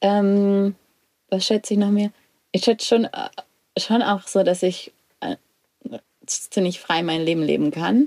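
A woman speaks at a fairly slow pace with long, frequent pauses, her pitch medium and its variation ordinary. Her tone is dark and mellow, and the sound is dry and close with no echo. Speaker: podcast co-host. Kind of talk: casual interview. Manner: restrained, controlled; hesitant, many fillers.

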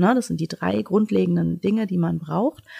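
Her voice has a dark, mellow tone and medium pitch, moving at a moderate pace in a dry, close sound with no echo and a very clean recording over a silent background. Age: 40s. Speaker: primary school principal. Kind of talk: casual interview.

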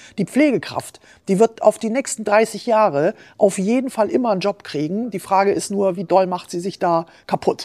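At a moderate pace, a woman speaks in a dark, mellow tone at a medium pitch with ordinary pitch variation, captured in a very clean recording with a silent background and a dry, close sound lacking echo. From Allgäu, southern Germany (Bavaria). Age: 50s. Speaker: head of a workers' chamber, former journalist. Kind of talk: interview.

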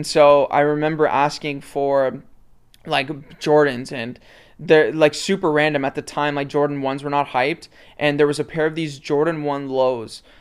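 Heard in a very clean recording with a silent background, a man speaks with a Canadian accent at a fairly high pitch. His intonation is monotone and flat, at a moderate pace. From Canada, Toronto area (Mississauga). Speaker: sneaker and fashion content creator. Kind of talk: casual interview chat.

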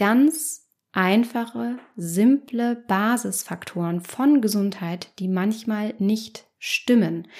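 The speech crawls along very slowly, somewhat breathy in tone, its pitch varying in an ordinary way. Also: woman. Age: 30s. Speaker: psychologist and podcast host. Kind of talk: solo podcast monologue.

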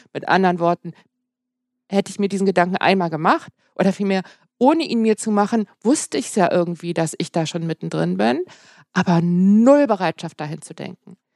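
A woman at medium pitch talks at a fairly quick pace, with ordinary pitch variation and big swings in loudness, in an ordinary speaking voice. The recording is very clean with a silent background and a dry, close sound with no echo. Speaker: pharmacist and health journalist. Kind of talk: interview conversation. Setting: at her workplace.

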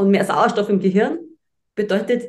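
A woman is speaking. Her pitch is medium. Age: 40s. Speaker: presenter and speech trainer. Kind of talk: podcast interview.

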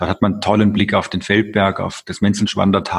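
A man speaks at a moderate pace in a fairly low voice with monotone, flat intonation. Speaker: mayor. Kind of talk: interview.

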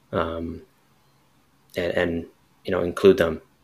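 Monotone and flat, a man's very deep, low voice comes across somewhat breathy on a very clean recording with a silent background. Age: 30s. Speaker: clinical counselor. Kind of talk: casual interview.

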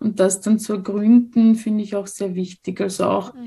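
A woman speaks at a fairly slow pace in a medium pitch. Her voice is somewhat breathy, with a dark, mellow tone. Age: 40s. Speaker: social worker and sex educator. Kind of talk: interview.

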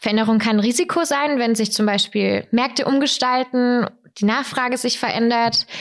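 A woman speaks at a moderate pace in a high voice, her intonation fairly even and her loudness very even. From southern Germany (Weikersheim, Tauber Franconia). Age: 20s. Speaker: corporate digital business developer, trend expert. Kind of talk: podcast interview.

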